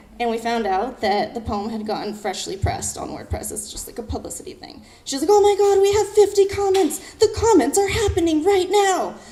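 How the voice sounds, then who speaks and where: In an animated tone, a woman with an extremely high pitch talks at a fairly quick pace with hardly any pauses, very wide pitch swings and big swings in loudness, and the room echo is audible. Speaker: poet. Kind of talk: storytelling talk on stage. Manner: fast.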